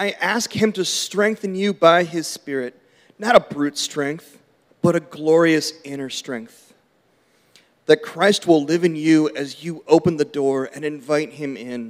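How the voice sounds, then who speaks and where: In an unremarkable speaking voice, a man with a fairly high pitch talks at a fairly slow pace, with ordinary pitch variation and big swings in loudness. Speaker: church member reading scripture. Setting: church.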